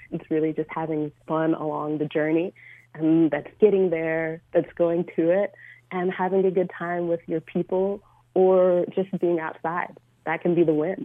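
With an American accent, a woman speaks at a fairly low pitch in a monotone, flat intonation. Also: moderate pace. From US South, Georgia. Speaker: adventurer and photographer. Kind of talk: radio interview. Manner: hesitant, filler-heavy.

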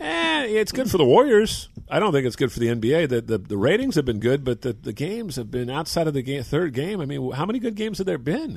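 Over a quiet background, a man with vocal fry talks in a fairly high pitch, with very wide pitch swings and hardly any pauses. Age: 60s. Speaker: sports radio co-host. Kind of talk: casual chat. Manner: animated.

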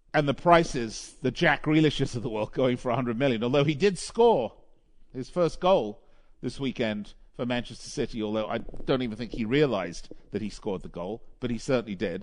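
A man with an ordinary speaking voice talks at medium pitch. His pace is fairly quick and his intonation lively. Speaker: radio host. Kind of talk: live sports radio show. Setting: studio. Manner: chatty, filler-heavy.

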